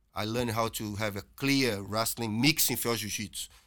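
Speaking at a moderate pace with a Portuguese accent, this man has a medium-pitched voice, a bright, sharp tone and fairly even intonation. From Brazil. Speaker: jiu-jitsu instructor. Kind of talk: casual chat.

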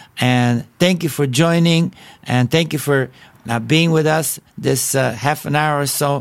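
The speaker talks at a fairly slow pace with a Bulgarian accent. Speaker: evangelist preacher. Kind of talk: podcast sermon. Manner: halting; animated.

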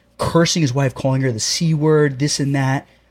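Somewhat breathy, the man's voice sits fairly high for his sex. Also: very clean recording, silent background. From North Jersey, Bergen County. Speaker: plumbing contractor and falconer. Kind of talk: casual chat.

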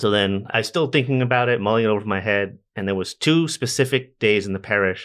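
An ordinary speaking voice from a man, fairly low, at a fairly quick pace with ordinary pitch variation. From US, army family, teens in Massachusetts. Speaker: deacon. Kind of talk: casual interview.

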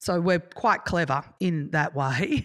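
Over a silent background in a very clean recording, a woman speaks at a very deep, low pitch with fairly even intonation. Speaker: event manager. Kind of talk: casual chat. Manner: loud.

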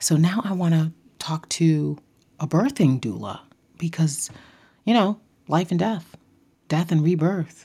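A woman's fairly low, somewhat breathy voice with a dark, mellow tone, at a fairly slow pace with ordinary pitch variation and long, frequent pauses. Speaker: podcast host. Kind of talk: casual solo monologue.

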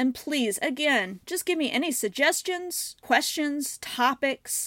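A woman talks with a US Midwestern accent on a very clean recording with a silent background. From US Midwest, Southern Illinois. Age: 30s. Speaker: mental health podcast host. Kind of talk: personal monologue.

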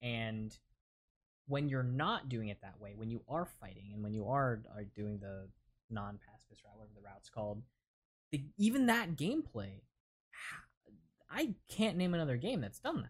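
A man's medium-pitched, somewhat breathy voice with lively intonation, big swings in loudness and long, frequent pauses at a moderate pace. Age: 20s. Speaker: podcaster. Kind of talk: casual chat.

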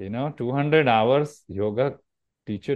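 A man is speaking. He talks with an Indian accent. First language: Marathi. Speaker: yoga teacher. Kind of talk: interview.

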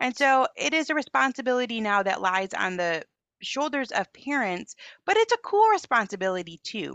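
A woman with an American accent speaks at a moderate pace in a high pitch, with very wide pitch swings. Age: 40s. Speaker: author and parenting movement founder. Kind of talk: interview conversation.

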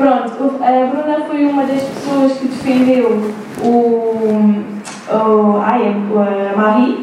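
Delivered at a very slow pace with fairly even intonation, the speech carries noticeable background noise and audible room echo. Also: woman, high pitch for a woman. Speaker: university student in the audience. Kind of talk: live podcast discussion. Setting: live recording before an audience at a university. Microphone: poor recording quality.

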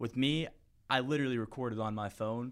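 In an American accent, a man with an ordinary speaking voice talks at a fairly quick pace and medium pitch with fairly even intonation, on a very clean recording with a silent background. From US South, Florida (St. Petersburg). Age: 20s. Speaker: title company sales rep and podcaster. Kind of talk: casual interview.

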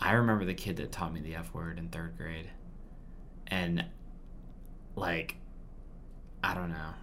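A man's very deep, low voice with vocal fry, at a moderate pace with long, frequent pauses. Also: ordinary pitch variation. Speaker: podcast co-host. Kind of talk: casual chat.

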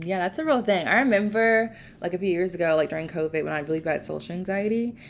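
A woman's medium-pitched voice at a very fast pace, with ordinary pitch variation, in a very clean recording against a silent background. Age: 20s. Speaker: podcast host. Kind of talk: casual interview. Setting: recorded at guest's home, poor microphone.

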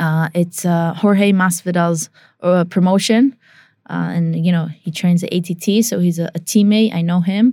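At a moderate pace, a woman with an unremarkable speaking voice talks at a fairly low pitch with fairly even intonation. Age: 20s. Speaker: professional Muay Thai and kickboxing fighter. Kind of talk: interview.

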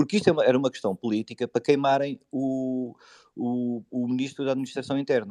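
Speaking at a fairly quick pace, a man with a medium pitch and a dark, mellow tone uses ordinary pitch variation. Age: 40s. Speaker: football supporters' group leader. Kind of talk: casual chat.

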